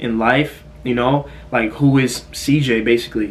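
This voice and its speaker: A man's medium-pitched voice holds fairly even intonation amid noticeable background noise. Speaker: fitness content creator. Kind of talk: casual Q&A vlog. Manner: halting, stuttering.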